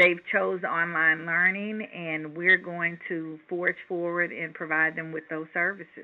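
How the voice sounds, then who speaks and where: A woman speaks fairly slowly at a fairly low pitch. It is a normal speaking voice. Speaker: charter school founder and executive. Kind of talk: interview.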